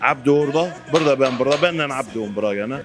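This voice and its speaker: With very wide pitch swings and a fairly quick pace, a man speaks over noticeable background noise in audible room echo. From Syria, Aleppo region (Turkmen). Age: 30s. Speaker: shoemaker. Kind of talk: interview.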